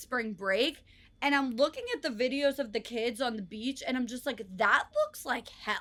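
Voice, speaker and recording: With an American accent and a bright, sharp tone, the speaker goes at a moderate pace with ordinary pitch variation. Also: woman. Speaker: podcast co-host. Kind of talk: casual chat.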